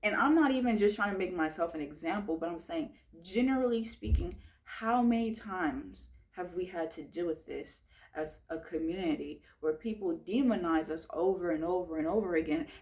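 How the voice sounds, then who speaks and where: Passionate in tone, a woman with a medium pitch speaks at a moderate pace with lively intonation. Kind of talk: commentary talk to camera. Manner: emphatic, passionate.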